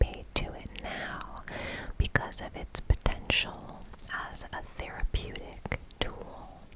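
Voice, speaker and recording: A woman whispers over noticeable background noise. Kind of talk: ASMR science explainer. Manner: whispered.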